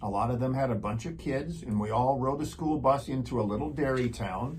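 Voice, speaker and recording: Audible room echo surrounds a man talking at a moderate pace in a medium pitch. His voice carries vocal fry and ordinary pitch variation. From rural Wisconsin. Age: 50s. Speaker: show host. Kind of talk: interview.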